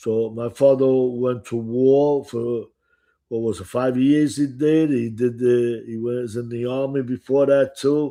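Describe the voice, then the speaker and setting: A man with a strong Italian accent speaks at a fairly slow pace in a medium pitch. His tone is dark and mellow, and his intonation is monotone and flat. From Italy. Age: 70s. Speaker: restaurant owner and author. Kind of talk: casual chat. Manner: halting.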